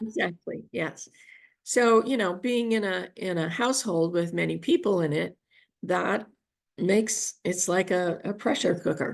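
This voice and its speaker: A woman at medium pitch with vocal fry and ordinary pitch variation, at a fairly slow pace over a quiet background. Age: 70s. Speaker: spiritual healer and activist. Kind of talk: interview answer. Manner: hesitant, conversational.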